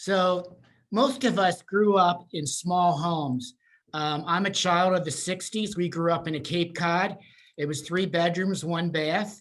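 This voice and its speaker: This man speaks with a Pennsylvania accent and a high pitch. His pace is fairly slow, with ordinary pitch variation. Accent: Pennsylvania American. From central Pennsylvania. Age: 60s. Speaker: senior housing sales and marketing presenter. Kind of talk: webinar presentation. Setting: Zoom video call. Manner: halting, many fillers.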